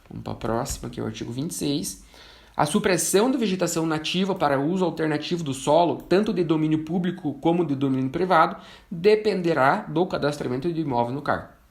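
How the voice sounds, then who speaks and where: Vocal fry from a man at a fairly high pitch and a fairly quick pace. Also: ordinary pitch variation. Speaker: forestry engineer and instructor. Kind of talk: online lecture.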